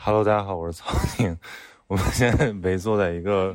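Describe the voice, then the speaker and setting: Fairly even intonation marks the very deep, low pitch of this man's voice. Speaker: travel companion. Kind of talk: casual chat. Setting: bathhouse lounge.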